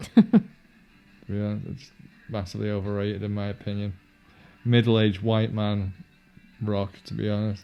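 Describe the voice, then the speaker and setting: A man with a Yorkshire accent, a fairly low pitch, monotone, flat intonation, big swings in loudness, a fairly quick pace, long, frequent pauses and music in the background. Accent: generic northern English, Yorkshire-inflected. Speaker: film commentary podcaster. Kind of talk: casual chat.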